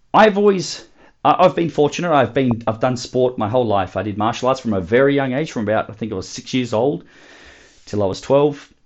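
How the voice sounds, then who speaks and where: Lively in intonation, a man talks with an Australian accent. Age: 20s. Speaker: podcast host, fitness coach. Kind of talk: solo motivational talk.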